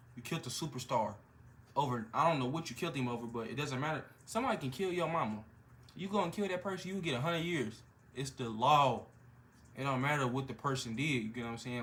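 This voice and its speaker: Very fast speech with lively intonation and audible room echo. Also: man, medium pitch for a man. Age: 20s. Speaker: hip-hop reaction youtuber. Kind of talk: casual reaction chat. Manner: animated.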